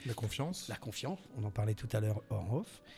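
A somewhat breathy man at a fairly quick pace on a very clean recording with a silent background. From southwest France, Landes coast. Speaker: voice actor. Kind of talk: interview.

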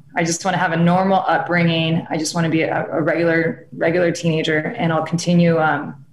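Recorded with audible room echo and noticeable background noise, a woman speaks with a Californian accent. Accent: Californian American. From Southern California. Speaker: actress and film producer. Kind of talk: interview conversation.

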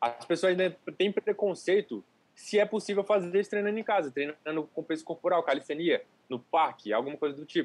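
A man's high-pitched voice with lively intonation and a fairly quick pace, in a dry, close sound with no echo. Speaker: calisthenics youtuber. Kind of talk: casual chat. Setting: livestream.

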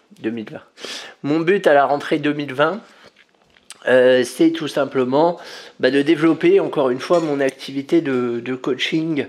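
Keeping a fairly slow pace, a man talks in a fairly high pitch with fairly even intonation. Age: 30s. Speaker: podcast host. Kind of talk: casual monologue. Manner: halting.

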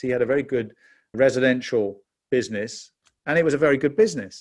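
In a British accent, a man speaks fairly quickly with lively intonation at a medium pitch. The recording is very clean, with a silent background. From England. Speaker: pastor and author. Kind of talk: testimony.

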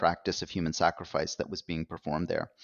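A man with a Canadian accent. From Canada. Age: 40s. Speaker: professor and author. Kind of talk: interview.

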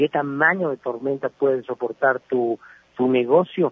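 A man with an unremarkable speaking voice talks at a fairly slow pace, with a fairly high pitch and ordinary pitch variation. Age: 40s. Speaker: entrepreneur and business columnist. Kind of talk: radio interview.

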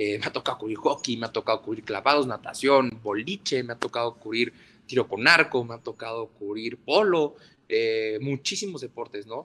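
A man with a bright, sharp tone talks at a moderate pace, his loudness swinging widely. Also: medium pitch for a man, ordinary pitch variation. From northern Mexico, Ciudad Juárez. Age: 20s. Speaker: sports journalist. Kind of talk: interview. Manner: halting, many repetitions and fillers.

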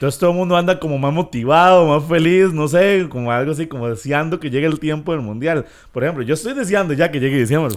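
Very fast and with hardly any pauses, a man talks at a fairly high pitch with ordinary pitch variation. The recording is very clean, with a silent background. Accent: Costa Rican. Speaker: podcast co-host. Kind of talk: casual chat.

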